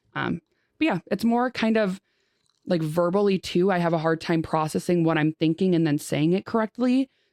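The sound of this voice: A woman's fairly low voice with a slightly mellow tone, ordinary pitch variation and a moderate pace, in a dry, close sound with no echo and a very clean recording, silent background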